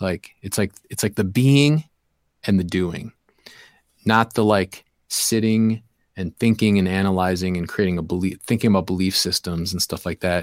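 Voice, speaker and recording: A man with a Midwestern American accent speaks at a very deep, low pitch with ordinary pitch variation, the sound dry and close with no echo on a very clean recording with a silent background. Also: moderate pace. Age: 40s. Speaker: hip-hop DJ and youth program leader. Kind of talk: casual interview chat.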